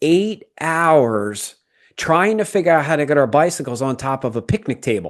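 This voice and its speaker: Over a quiet background, a man speaks at a moderate pace in an unremarkable speaking voice. His pitch is fairly high and his intonation is lively. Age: 50s. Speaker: podcast host. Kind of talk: casual chat.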